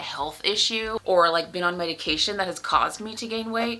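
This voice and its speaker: A woman speaks at a fairly quick pace with fairly even intonation over noticeable background noise. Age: 30s. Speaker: lifestyle vlogger. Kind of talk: personal vlog. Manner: casual, conversational.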